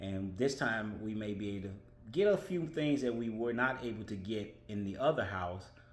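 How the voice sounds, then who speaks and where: Audible room echo surrounds a man speaking at a fairly low pitch with ordinary pitch variation. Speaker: vlogger. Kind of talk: casual monologue. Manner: fast.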